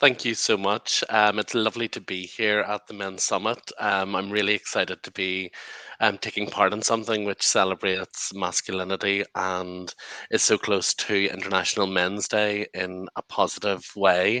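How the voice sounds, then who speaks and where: A bright, sharp tone in a Northern Irish accent, with monotone, flat intonation at a moderate pace and a dry, close sound with no echo. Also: man, fairly low pitch for a man. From Northern Ireland. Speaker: lawyer and activist, panelist. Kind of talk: panel discussion.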